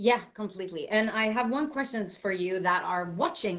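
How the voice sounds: A woman speaks at a moderate pace in a bright, sharp tone.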